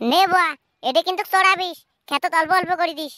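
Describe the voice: A woman's cartoonish character voice, extremely high and fairly quick, with fairly even intonation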